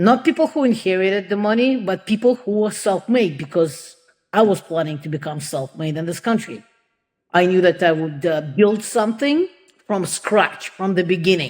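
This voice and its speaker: At a moderate pace, a woman talks with lively intonation and a medium pitch. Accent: Russian. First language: Russian. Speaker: entrepreneur and advocate for immigrant women. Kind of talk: podcast interview. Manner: halting, many fillers.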